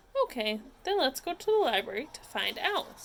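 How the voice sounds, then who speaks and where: A woman speaks in a put-on character voice, pitched high. Her pitch swings very widely at a moderate pace. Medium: read story.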